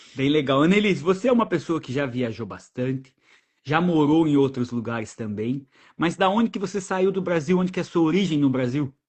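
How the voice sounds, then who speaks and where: With lively intonation, a man talks at a fairly quick pace in a somewhat breathy, fairly high voice. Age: 30s. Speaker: travel podcast host. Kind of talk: casual interview chat. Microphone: new microphone.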